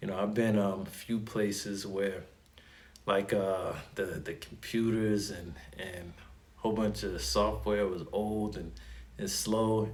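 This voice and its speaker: Recorded with audible room echo, a man with a slight New York accent speaks at a fairly low pitch with ordinary pitch variation. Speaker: Navy sailor and YouTuber. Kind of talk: unscripted casual explainer. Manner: casual, many fillers and repeats.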